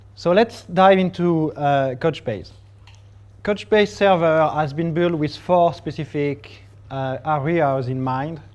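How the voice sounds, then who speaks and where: Speaking in a French accent, a man moves at a very slow pace. His fairly high pitch shows ordinary variation. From France. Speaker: technology evangelist. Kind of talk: tech talk presentation.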